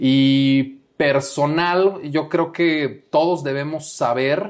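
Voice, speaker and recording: Against a quiet background, a fairly high-pitched man talks with ordinary pitch variation. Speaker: international business coordinator at a candy company. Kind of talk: casual interview chat.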